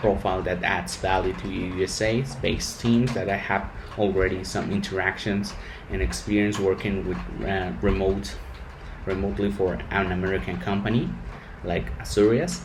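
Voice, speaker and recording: A man with a Spanish accent, amid noticeable background noise and audible room echo. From Mexico. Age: 20s. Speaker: engineer. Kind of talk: rehearsed interview answers. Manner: halting.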